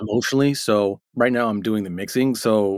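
With a normal speaking voice, a man of fairly low pitch talks at a moderate pace and fairly even intonation in a very clean, dry, close recording with a silent background and no echo. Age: 40s. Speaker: mixing engineer and producer. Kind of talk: casual interview.

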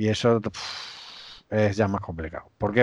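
Fairly slow speech with fairly even intonation over a quiet background. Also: man. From Spain, Extremadura (Cáceres). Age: 40s. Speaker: systems administrator and conference organizer. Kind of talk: casual chat.

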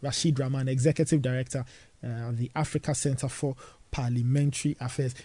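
With a Ghanaian accent, a man speaks at a fairly quick pace in monotone, flat intonation. His tone is dark and mellow, and somewhat breathy. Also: medium pitch for a man. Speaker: radio host. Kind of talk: breakfast radio show. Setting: studio.

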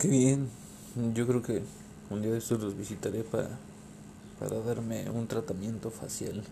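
Speaking in a Mexican accent, a man with a medium pitch and a dark, mellow, somewhat breathy tone talks at a moderate pace, using fairly even intonation and long, frequent pauses. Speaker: podcast host. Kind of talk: casual interview. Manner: halting, repeats words.

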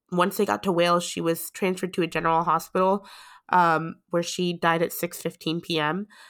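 Recorded very cleanly against a silent background, a woman speaks at a medium pitch with an American accent. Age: 20s. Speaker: podcast host. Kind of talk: casual chat.

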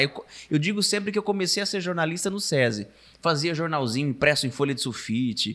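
With a bright, sharp tone, a man speaks at a fairly quick pace in a fairly high pitch that makes very wide swings. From Araçatuba, São Paulo state, Brazil. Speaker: TV reporter. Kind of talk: casual chat.

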